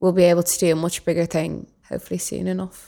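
A woman with a Dublin accent speaks at a moderate pace in a dark, mellow tone at fairly low pitch, on a very clean recording with a silent background. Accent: Dublin Irish. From Dublin, Ireland. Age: young. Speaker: youth volunteer. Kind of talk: casual chat.

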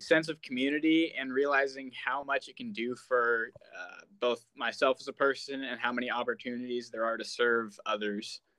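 A man with an American accent has a bright, sharp tone. He speaks at a moderate pace with ordinary pitch variation. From Oregon coast, US Pacific Northwest. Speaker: student youth organization state officer. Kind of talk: casual interview chat.

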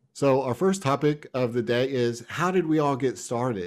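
A man speaks at a moderate pace with lively intonation and a medium pitch. The recording is very clean with a silent background. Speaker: podcast host. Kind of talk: casual chat.

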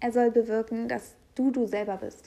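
A woman's high voice with a dark, mellow tone and fairly even intonation. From Hamburg, northern Germany. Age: 20s. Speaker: podcast host. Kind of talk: casual solo monologue. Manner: casual, with fillers and laughter.

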